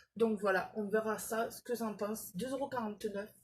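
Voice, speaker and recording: Talking with fairly even intonation at a fairly slow pace, a woman sounds somewhat breathy. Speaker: beauty vlogger. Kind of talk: product haul video. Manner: hesitant, many fillers.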